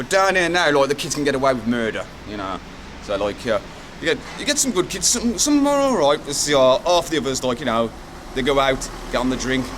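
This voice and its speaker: A man speaks at a fairly quick pace with lively intonation and a fairly high pitch. Noticeable background noise runs behind him. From English Midlands, Wolverhampton. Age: 40s. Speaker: local resident. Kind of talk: street interview.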